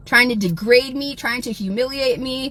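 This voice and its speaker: A woman with an American accent and a high pitch speaks at a moderate pace with ordinary pitch variation, over noticeable background noise. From South Texas. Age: 40s. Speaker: livestreamer. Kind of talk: livestream rant.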